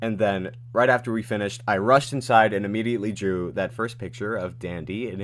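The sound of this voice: Reading voice, unforced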